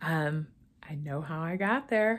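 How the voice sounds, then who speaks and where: Against a quiet background, a woman speaks very slowly with lively intonation and a bright, sharp tone. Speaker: weight loss vlogger. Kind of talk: casual vlog chat. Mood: cheerful, upbeat. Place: home room. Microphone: phone near.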